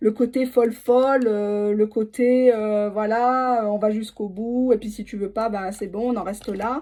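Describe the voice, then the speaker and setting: Her fairly high voice has a dark, mellow tone, and the woman talks in a monotone, flat intonation with hardly any pauses and big swings in loudness. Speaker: tarot reader. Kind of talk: tarot reading for viewers. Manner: fast.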